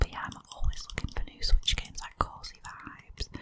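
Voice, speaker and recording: A woman whispers at a fairly quick pace. Noticeable background noise sits behind her. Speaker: ASMR creator. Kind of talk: casual talk to camera, ASMR favourites chat. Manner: soft-spoken, whispered, friendly.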